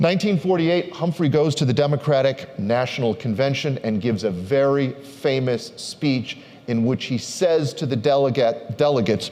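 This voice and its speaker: A man with an American accent speaks at a moderate pace and a fairly high pitch, his intonation lively. His loudness stays very even despite noticeable background noise. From Minnesota. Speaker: history professor giving a book talk. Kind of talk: lecture.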